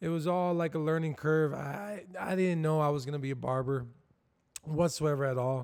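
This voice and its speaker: Speaking in a normal speaking voice with an American accent, a man keeps a moderate pace and fairly even intonation. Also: fairly high pitch for a man. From Southwest Florida. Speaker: barber and shop owner. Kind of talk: casual chat.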